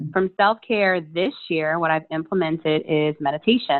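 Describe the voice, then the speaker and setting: This woman has a plain, everyday voice with an American accent. She speaks at a moderate pace. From US Mid-Atlantic (DC area). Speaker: entrepreneur, meditation coach. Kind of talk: casual interview chat.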